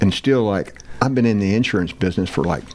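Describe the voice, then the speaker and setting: With an American accent and ordinary pitch variation, the voice comes through noticeable background noise. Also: man. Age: 70s. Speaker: former football player. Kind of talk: casual interview.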